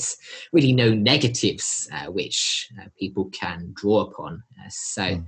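Somewhat breathy, this man's fairly low voice moves with ordinary pitch variation. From Australia (Sydney), born in southern England. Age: young. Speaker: conservationist. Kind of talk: interview.

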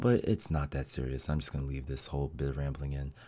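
Speaking at a very fast pace, a man has a dark, mellow tone. The recording is very clean, with a silent background. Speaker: podcaster and streamer. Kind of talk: casual solo monologue. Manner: unscripted, rambling with fillers; talking normally, not hushed radio voice.

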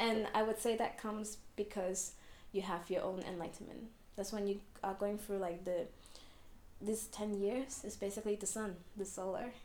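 Audible room echo surrounds a woman's medium-pitched voice. She speaks with monotone, flat intonation. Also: moderate pace. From Hong Kong. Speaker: fortune teller. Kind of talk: interview.

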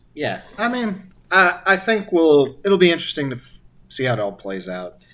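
The man's voice is high-pitched and animated in tone. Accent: American. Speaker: podcast host. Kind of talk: casual chat. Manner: joking, animated.

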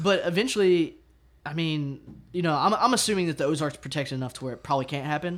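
A man with a Southern US accent at a very fast pace, fairly high in pitch with ordinary pitch variation, on a very clean recording with a silent background. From Arkansas. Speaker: music promoter and musician. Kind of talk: casual chat.

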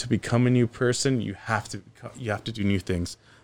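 This is a man with a normal speaking voice and a fairly low pitch. His intonation stays fairly even. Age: 30s. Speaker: social media personality, mover posting fridge videos. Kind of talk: casual interview chat.

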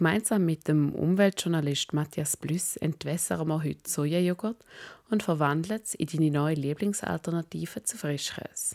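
A woman speaks at a moderate pace with a very deep, low pitch. The sound is dry and close with no echo, in a very clean recording with a silent background. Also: ordinary pitch variation. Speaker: podcast host. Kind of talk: scripted narration; casual chat. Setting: home kitchen. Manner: animated.

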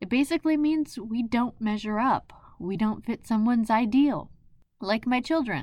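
A woman speaks in a plain, everyday voice. Her pace is moderate and her pitch varies in an ordinary way. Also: fairly high pitch for a woman. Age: 40s. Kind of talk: devotional monologue.

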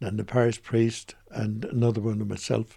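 A man at medium pitch with a West Clare accent, moderate pace and fairly even intonation. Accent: Irish (West Clare). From Ireland, County Clare. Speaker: retired priest. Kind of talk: radio interview.

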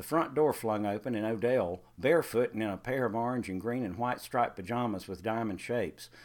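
Reading done in a natural reading voice

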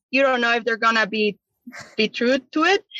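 A woman with a Mexican accent has a bright, sharp tone and fairly high pitch, recorded with a dry, close sound and no echo. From Chihuahua, Mexico. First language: Spanish. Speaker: college tennis coach. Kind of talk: casual interview.

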